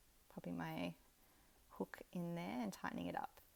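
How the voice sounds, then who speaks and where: With an Australian accent, a woman talks at a moderate pace in a relaxed tone. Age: 30s. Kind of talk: craft tutorial talk to camera. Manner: relaxed, casual.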